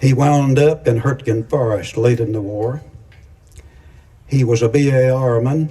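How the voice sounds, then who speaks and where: In a dark, mellow tone that is somewhat breathy, a man speaks at a medium pitch and a moderate pace with fairly even intonation. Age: 90s (80s+). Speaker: retired air force colonel, war veteran. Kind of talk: commemorative speech. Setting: outdoor ceremony with audience. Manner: halting.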